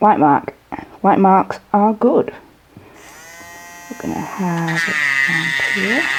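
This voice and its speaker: Noticeable background noise sits behind a woman with a fairly low pitch. She speaks at a very slow pace with long, frequent pauses. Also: lively intonation. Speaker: model horse customizer, artist. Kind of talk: tutorial. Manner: hesitant, many fillers.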